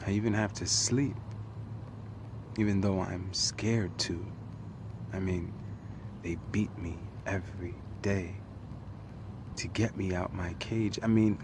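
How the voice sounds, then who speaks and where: Amid noticeable background noise, the speech moves at a fairly slow pace with long, frequent pauses. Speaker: spoken word poet. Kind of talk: spoken word poetry performance.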